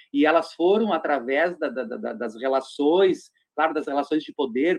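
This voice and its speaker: A man's voice with lively intonation. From Rio Grande do Sul interior (Nonoai). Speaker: LGBT activist group coordinator. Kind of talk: radio interview discussion.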